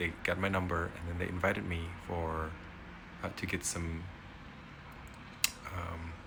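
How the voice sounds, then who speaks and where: A man with a very deep, low voice and an Indonesian accent, monotone and flat, with long, frequent pauses and audible room echo. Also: moderate pace. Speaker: vlogger, immigrant parent. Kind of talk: casual personal vlog. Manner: hesitant, many fillers.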